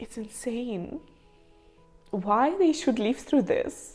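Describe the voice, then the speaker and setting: Over background music, a woman in a Ukrainian accent speaks at a high pitch and a very slow pace. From Ukraine, Kharkiv. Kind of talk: personal story to camera.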